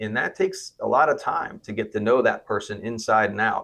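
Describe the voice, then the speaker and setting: The background is quiet as this man talks. He has an American accent. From South Florida. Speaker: physician and clinic founder. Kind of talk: interview. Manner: hesitant, with filler words.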